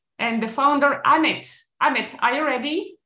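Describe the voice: With audible room echo, a woman talks at a moderate pace in a high pitch with a bright, sharp tone and ordinary pitch variation.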